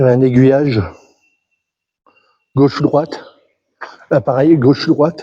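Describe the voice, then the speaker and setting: Long, frequent pauses break up a man's fairly slow speech, which has a dark, mellow tone, a fairly high pitch and fairly even intonation. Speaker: urban explorer vlogger. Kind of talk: vlog walkthrough narration. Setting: abandoned mine buildings, echoing. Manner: halting, repeats words.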